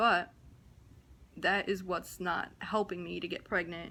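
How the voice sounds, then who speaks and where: Recorded very cleanly against a silent background, a woman speaks in a fairly low pitch with a bright, sharp tone and monotone, flat intonation. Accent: New Jersey. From New Jersey, US. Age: 20s. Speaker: vlogger. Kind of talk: personal vlog, testimony. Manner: casual, with many fillers.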